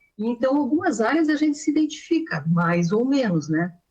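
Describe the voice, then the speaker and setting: A woman's somewhat breathy voice swings very widely in pitch as she talks at a moderate pace. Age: 60s. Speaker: retired civil servant and nutritionist. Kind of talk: interview testimony. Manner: halting, with many fillers.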